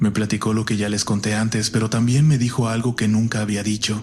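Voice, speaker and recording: Somewhat breathy and fairly low, a man's voice moves at a fairly quick pace with monotone, flat intonation. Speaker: horror story narrator. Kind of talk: horror story narration.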